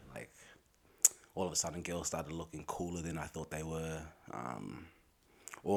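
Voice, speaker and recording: A man with an Australian accent speaks at a fairly quick pace. His voice is very deep and low, with fairly even intonation. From Australia (Braybrook, Melbourne), Somali family. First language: Somali. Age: 30s. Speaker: rapper. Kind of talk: casual interview chat.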